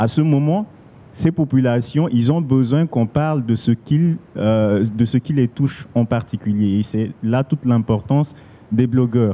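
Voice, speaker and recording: A man talks at a fairly slow pace, his loudness very even throughout. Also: ordinary pitch variation. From Central African Republic. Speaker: radio journalist and blogger; radio journalist, blogger. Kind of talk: panel discussion. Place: hall. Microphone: handheld.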